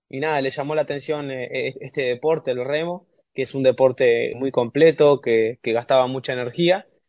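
A man speaks in a plain, everyday voice at a fairly quick pace. His intonation stays fairly even. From Uruguay. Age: 20s. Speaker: rower. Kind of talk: interview.

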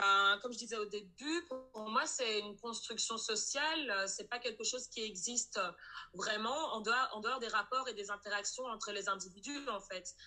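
Speaking at a moderate pace with a fairly high pitch and ordinary pitch variation, a woman is heard over noticeable background noise. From Belgium, Brussels. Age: 20s. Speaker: anti-racism activist. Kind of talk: testimony.

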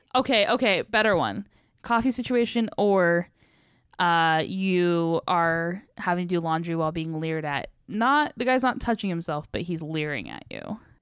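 A woman speaks at a moderate pace with lively intonation and a fairly low pitch, in a plain, everyday voice. The recording is very clean, with a silent background. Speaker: podcast host. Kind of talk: casual chat. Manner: laughs a lot, casual.

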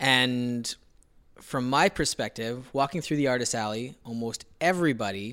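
Here is a plain, everyday voice. A man speaks at medium pitch and a moderate pace with ordinary pitch variation. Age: 30s. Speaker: artist and podcast co-host. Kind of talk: casual chat.

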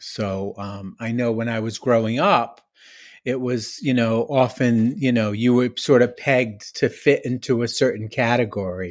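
Using a normal speaking voice, the speaker moves at a fairly slow pace with ordinary pitch variation. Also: man, medium pitch for a man. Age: 60s. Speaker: author, recovery speaker. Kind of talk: casual interview chat. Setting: remote audio call.

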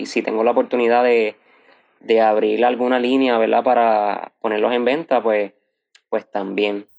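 This man speaks at a moderate pace with a medium pitch. His intonation stays fairly even. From Puerto Rico, Arecibo. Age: 20s. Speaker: graphic designer and entrepreneur. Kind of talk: interview. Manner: halting, with frequent fillers.

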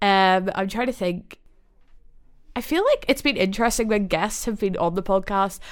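On a very clean recording with a silent background, a woman speaks at a moderate pace with ordinary pitch variation. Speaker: podcast host. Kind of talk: casual chat. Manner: nervous, chatty.

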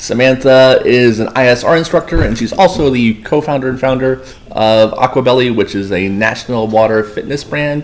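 Over noticeable background noise, a man with a medium pitch talks at a moderate pace with hardly any pauses and ordinary pitch variation. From Florida, Boynton Beach. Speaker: podcast host, pool safety business owner. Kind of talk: casual interview.

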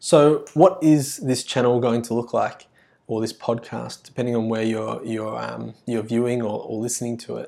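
A man with an Australian accent at a moderate pace. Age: 20s. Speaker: podcast host and primary school teacher. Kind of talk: solo podcast monologue. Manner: halting, many fillers and restarts.

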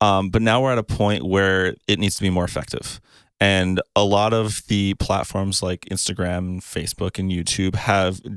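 On a very clean recording with a silent background, a man with an ordinary speaking voice and fairly low pitch talks at a moderate pace in fairly even intonation. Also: dry, close sound with no echo. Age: 20s. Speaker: videographer and photographer. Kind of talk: casual chat.

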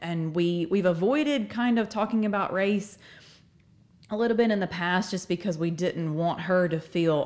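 In a Southern US accent, a woman speaks at a moderate pace, her fairly low pitch moving with ordinary variation. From Alabama, Northport. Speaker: church member and parent. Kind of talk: casual chat.

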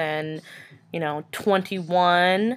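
A woman with an American accent speaks at a medium pitch. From New York. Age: 20s. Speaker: podcast host. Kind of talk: casual monologue. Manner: halting.

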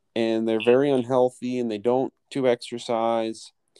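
A man's medium-pitched voice in a Mid-Atlantic accent, dark and mellow in tone, at a fairly slow pace on a very clean recording with a silent background. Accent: American, Mid-Atlantic. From US, Philadelphia suburbs. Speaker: English teacher. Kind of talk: casual interview chat.

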